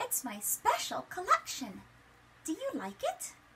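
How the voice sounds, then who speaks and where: A woman does a put-on character voice at an extremely high pitch with a warm, gentle tone. Her pace is fairly slow, and the background noise is loud. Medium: read story.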